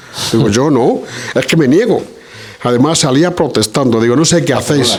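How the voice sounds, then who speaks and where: Fairly high-pitched speech from a man, with noticeable background noise. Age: 60s. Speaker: audience member. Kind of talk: audience discussion. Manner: hesitant, many fillers.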